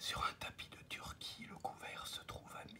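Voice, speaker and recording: A man whispers in a soothing tone at a very slow pace. Noticeable background noise sits behind him. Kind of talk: ASMR fable reading, improvised. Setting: recorded at a desk, home office. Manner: whispered, soothing.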